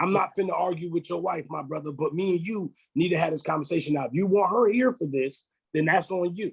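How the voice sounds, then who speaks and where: Shouting loudly at a very fast pace, a man speaks in a high voice. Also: ordinary pitch variation. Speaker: podcast co-host. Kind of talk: casual chat. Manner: loud, sounds like yelling.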